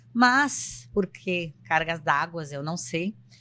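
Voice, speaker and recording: A woman's fairly low voice with a bright, sharp tone. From São Paulo coast, Brazil (São Vicente). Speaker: psychologist and podcast co-host. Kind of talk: casual podcast introduction.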